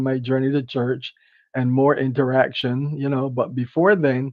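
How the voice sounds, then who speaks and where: A fairly high-pitched male voice with a Barbadian accent. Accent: Barbadian (Bajan). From Barbados. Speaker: empowerment speaker. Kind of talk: interview conversation. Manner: halting.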